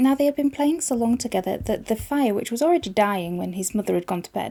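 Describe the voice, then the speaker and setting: A woman with a Yorkshire accent speaks in a fairly high pitch. Her tone is dark and mellow, and her intonation is lively. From Yorkshire, England. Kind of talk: fairy tale reading.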